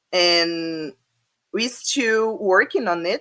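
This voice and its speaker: A woman's fairly low voice at a very slow pace, in a Brazilian Portuguese accent with ordinary pitch variation. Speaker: academic speaker. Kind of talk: conference talk. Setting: online video presentation. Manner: halting, many fillers.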